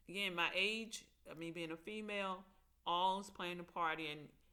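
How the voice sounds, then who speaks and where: In a Mississippi accent, a woman with a fairly low pitch and a bright, sharp tone speaks at a moderate pace with fairly even intonation. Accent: Mississippi Southern. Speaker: aspiring TV writer and vlogger. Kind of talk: casual vlog monologue.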